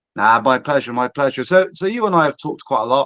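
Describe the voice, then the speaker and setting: A bright, sharp voice with a West Country accent, dry and close with no echo, over a quiet background. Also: man. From England, Bristol / Southwest. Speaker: podcast host, digital transformation business. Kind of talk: podcast interview.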